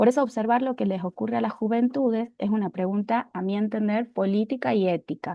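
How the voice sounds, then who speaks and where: This woman has an ordinary speaking voice, fairly high in pitch with ordinary variation. She talks at a fairly quick pace with hardly any pauses. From Argentina. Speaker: university lecturer, youth mental health researcher. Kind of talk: public talk.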